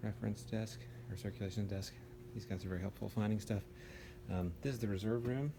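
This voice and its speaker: In an American accent, a man speaks at a fairly low pitch with ordinary pitch variation, his voice somewhat breathy with a dark, mellow tone. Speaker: law student giving an informal tour. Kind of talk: casual walking tour. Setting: indoors, empty law school building. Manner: casual, filler-heavy; whispering.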